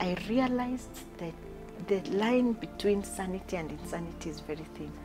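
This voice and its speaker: A woman speaks at a moderate tempo. Clear music can be heard behind her. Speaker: interview guest. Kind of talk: interview answer. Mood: emotional, reflective about loss. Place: home room.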